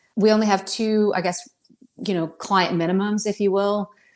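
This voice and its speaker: A woman's medium-pitched voice with an American accent, an unremarkable speaking voice, and fairly even intonation. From North Carolina. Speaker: financial advisor. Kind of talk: podcast interview.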